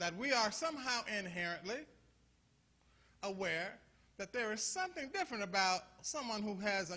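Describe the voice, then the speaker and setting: In a raised, projected voice with a bright, sharp tone, the speaker moves at a moderate pace with an animated tone, lively intonation and long, frequent pauses. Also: man, high pitch for a man. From US Midwest, Toledo, Ohio. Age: 60s. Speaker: pastor. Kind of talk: conference talk. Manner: animated, preacherly call-and-response; halting, repeats words.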